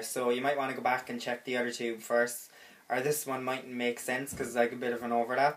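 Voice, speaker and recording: A man with a strong Cork accent. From Cork, Ireland. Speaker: vlogger. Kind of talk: casual comedy tutorial to camera. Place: home room. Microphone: phone near.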